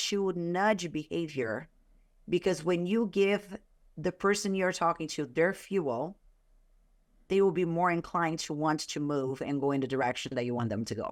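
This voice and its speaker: In a Brazilian Portuguese accent, a woman speaks fairly slowly at a fairly low pitch with lively intonation, on a very clean recording with a silent background. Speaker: author and sales consultant. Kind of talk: podcast interview.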